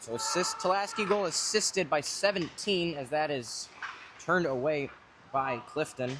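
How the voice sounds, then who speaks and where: Noticeable background noise sits under a man's high-pitched voice. He speaks at a moderate pace with ordinary pitch variation. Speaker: hockey play-by-play commentator. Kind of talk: live commentary. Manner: loud.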